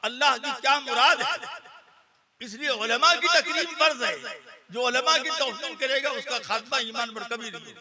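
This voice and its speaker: A man's raised, projected voice at an extremely high pitch, with ordinary pitch variation and big swings in loudness. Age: 70s. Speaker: Islamic cleric. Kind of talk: religious speech.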